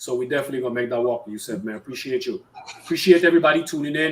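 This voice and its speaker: This man speaks with an American accent. His pitch is fairly high. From US Virgin Islands. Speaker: online show host. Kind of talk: live-streamed interview. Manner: stuttering, repeats words; casual, friendly.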